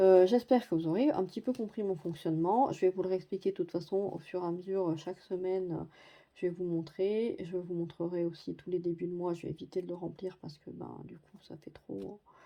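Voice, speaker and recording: A woman speaks at medium pitch and a moderate pace, her tone dark and mellow. Her pitch varies in an ordinary way, while her loudness swings widely. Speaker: budgeting vlogger. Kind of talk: budget tutorial. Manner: hesitant, many fillers.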